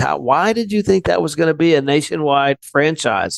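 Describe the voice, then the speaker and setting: An ordinary speaking voice in an American accent, fairly quick in pace with ordinary pitch variation. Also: man. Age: 60s. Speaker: insurance business owner. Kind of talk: podcast interview.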